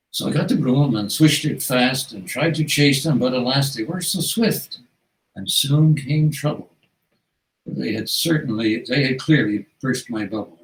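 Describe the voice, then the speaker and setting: A man's somewhat breathy voice, fairly high in pitch, with ordinary pitch variation. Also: moderate pace. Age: 80s+. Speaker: author. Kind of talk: reading aloud; casual interview. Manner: halting.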